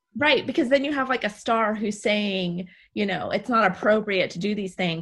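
A woman's plain, everyday voice with an American accent, fairly quick, ordinary pitch variation, quiet background. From Texas. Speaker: podcast host.

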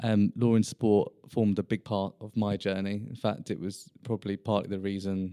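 A man talks at a fairly quick pace with a fairly low pitch and a monotone, flat intonation. His tone is dark and mellow, in a dry, close sound with no echo. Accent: British. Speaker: sports lawyer. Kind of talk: casual professional interview. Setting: law firm boardroom.

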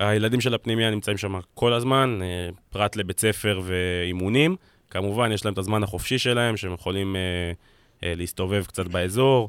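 A man has an ordinary speaking voice with a fairly low pitch and fairly even intonation. The recording is very clean, with a silent background. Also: moderate pace. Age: 20s. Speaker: football scout and analyst. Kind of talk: casual chat. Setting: studio.

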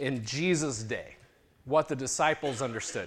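Here is an unremarkable speaking voice at a moderate pace. Its pitch varies in an ordinary way. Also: man. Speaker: pastor. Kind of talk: sermon. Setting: church.

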